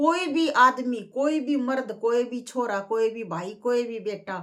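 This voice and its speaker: A woman with a Haryana accent speaks with lively intonation. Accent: Haryanvi. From Jhajjar, Haryana. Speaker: bhajan singer and YouTuber. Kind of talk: casual talk to camera.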